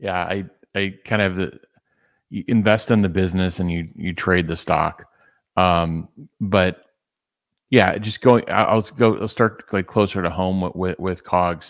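A man's very deep, low pitch, very slow pace, fairly even intonation and long, frequent pauses, over a quiet background. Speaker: business analyst. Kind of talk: casual discussion. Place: home room. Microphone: studio mic.

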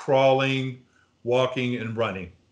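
A man with faint music in the background. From DC area (DMV). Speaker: university professor. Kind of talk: casual chat. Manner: enthusiastic. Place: home room. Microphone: video call.

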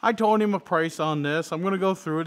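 A man speaks with ordinary pitch variation. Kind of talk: casual vlog chat. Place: garage.

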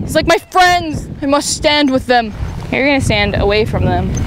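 There is noticeable background noise. The sound is dry, with no echo. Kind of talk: muttered talk to her horse while riding. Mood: exasperated, joking. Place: open country. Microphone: lapel.

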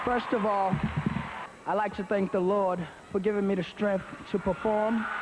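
Over noticeable background noise, a man talks at a moderate pace with long, frequent pauses. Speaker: singer. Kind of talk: award acceptance speech. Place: stage. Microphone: podium.

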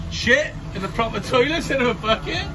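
A man speaks over noticeable background noise. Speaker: amateur sailor vlogger. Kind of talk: casual vlog chat. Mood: cheerful, celebratory. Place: boat. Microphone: phone near.

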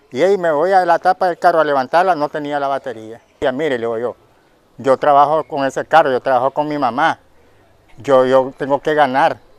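Heard in a dry recording with no echo, a man talks at a fairly quick pace, his fairly high pitch showing ordinary variation. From Nicaragua. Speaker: taxi driver. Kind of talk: news interview testimony. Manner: halting. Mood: upset, pleading. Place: garden.

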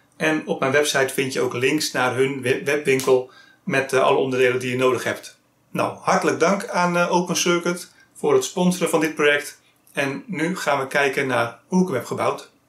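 Ordinary pitch variation from a man, with room echo clearly audible. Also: moderate pace. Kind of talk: tutorial. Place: workshop.

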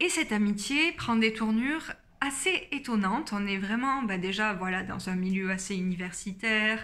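Her bright, sharp tone carries lively intonation as the woman speaks. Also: moderate pace. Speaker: book YouTuber. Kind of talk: casual book review vlog. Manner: many hesitations (euh). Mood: calm, engaged. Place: home room. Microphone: phone near.

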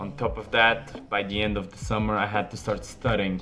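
A man with ordinary pitch variation and faint music in the background. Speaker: medical student vlogger. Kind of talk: casual vlog chat. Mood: apologetic then upbeat. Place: home room. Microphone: phone near.

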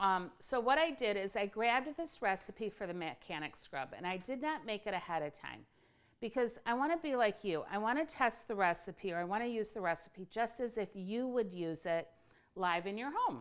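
Moderate pace from a woman, quiet background behind her. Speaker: company owner demonstrating a recipe. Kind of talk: casual live tutorial chat. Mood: relaxed, chatty. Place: kitchen.

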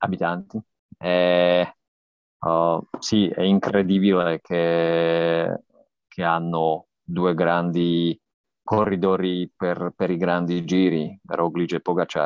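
Against a quiet background, a man with a non-native accent speaks very slowly in a very deep, low, monotone voice, the sound dry with no echo. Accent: non-native Italian. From Slovakia. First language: Slovak (speaking Italian). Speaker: cycling journalist and podcaster; cycling journalist, podcaster. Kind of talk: interview. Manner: halting, many fillers. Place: home room. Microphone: earbuds.

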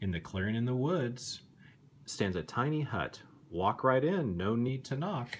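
A man's medium-pitched voice, gentle and soothing, with very wide pitch swings, a fairly slow pace and light background noise. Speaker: bedtime story reader. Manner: slow, animated, dramatic pauses with suspenseful emphasis and gasping character voices; gentle, soothing, kid-friendly, coaxing the listener along. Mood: calm, gently spooky storytelling. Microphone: phone near.

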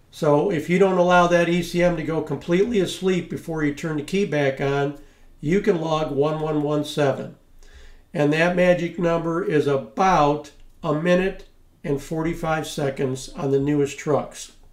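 Fairly even intonation at a moderate pace comes through with audible room echo over a quiet background. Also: man. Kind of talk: tutorial.

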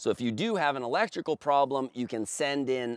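The recording is dry and free of echo. The voice belongs to a man. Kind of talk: product presentation. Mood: confident, upbeat sales tone. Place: open country.

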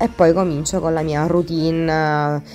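At a moderate pace, a woman speaks with a very deep, low pitch over faint music in the background. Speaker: beauty vlogger. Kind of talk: casual vlog chat. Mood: relaxed, calm. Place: bathroom. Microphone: phone near.

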